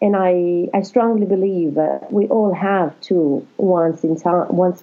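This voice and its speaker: A woman speaks with an Italian accent at a medium pitch. Her pace is fairly slow. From Italy. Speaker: life coach and counsellor. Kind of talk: interview.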